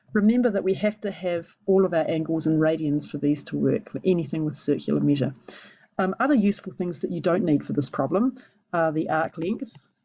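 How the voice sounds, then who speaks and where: Talking at a fairly quick pace, a woman with a fairly low pitch and a dark, mellow tone uses lively intonation, with vocal fry in her voice. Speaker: maths teacher. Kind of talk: tutorial.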